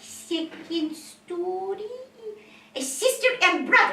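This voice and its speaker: A woman uses a put-on character voice at an extremely high pitch with lively intonation. She speaks very slowly with a slight echo. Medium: stage play. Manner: simple broken English, direct.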